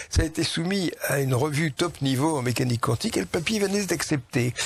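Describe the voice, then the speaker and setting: A man talks at a fairly quick pace with a fairly high pitch and lively intonation. Noticeable background noise runs underneath. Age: 80s+. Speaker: scientist. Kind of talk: interview. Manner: animated.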